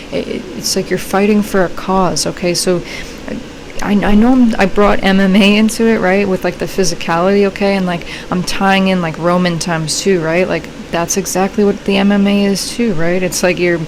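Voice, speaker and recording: Over noticeable background noise, a woman speaks at a medium pitch with fairly even intonation. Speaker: tarot reader. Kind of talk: tarot reading. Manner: fast; casual, filler-heavy.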